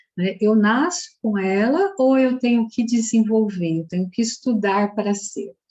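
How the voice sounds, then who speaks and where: Her pitch is fairly high, with ordinary variation and a somewhat breathy quality. The woman speaks at a fairly slow pace. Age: 60s. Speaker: psychologist and social entrepreneur. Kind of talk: festival talk.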